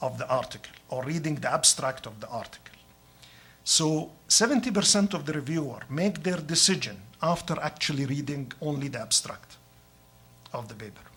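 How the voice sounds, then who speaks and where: A man with a fairly high pitch speaks at a moderate pace, using lively intonation and big swings in loudness. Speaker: professor. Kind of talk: lecture. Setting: hospital grand rounds talk. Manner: halting, with fillers.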